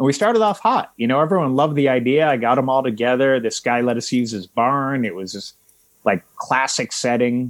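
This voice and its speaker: Speaking fairly quickly in an ordinary speaking voice, a man keeps a medium pitch with ordinary pitch variation on a very clean recording with a silent background. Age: 40s. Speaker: journalist and author. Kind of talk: interview conversation.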